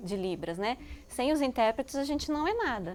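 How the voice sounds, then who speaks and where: A high-pitched woman with a São Paulo accent, at a moderate pace. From São Paulo, Brazil. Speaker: university professor. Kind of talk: interview.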